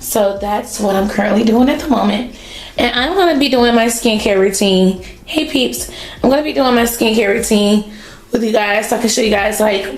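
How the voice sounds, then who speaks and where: Over noticeable background noise and audible room echo, a woman with an American accent talks at a moderate pace, her fairly high pitch showing ordinary variation and her loudness very even. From North Carolina, US South. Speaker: vlogger. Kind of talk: casual vlog. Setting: home, car and doctor's office.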